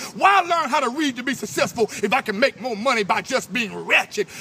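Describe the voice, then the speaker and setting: Over music in the background, a man projects a raised voice at an extremely high pitch. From New Orleans. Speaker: spoken word poet. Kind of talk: spoken word poetry performance. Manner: forceful, rhythmic.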